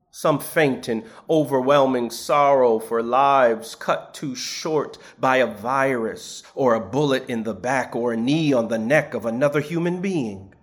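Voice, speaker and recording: A man speaks at a fairly slow pace, with medium pitch and ordinary pitch variation. It is an ordinary speaking voice. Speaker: preacher. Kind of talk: sermon, homily in a church service. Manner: measured, formal pulpit delivery.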